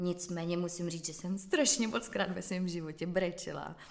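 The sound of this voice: A woman with a fairly low pitch speaks with fairly even intonation and audible vocal fry.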